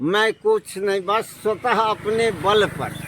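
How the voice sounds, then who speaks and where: A man's high pitch, varying in an ordinary way, is heard through noticeable background noise. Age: 60s. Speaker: retired teacher. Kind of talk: interview.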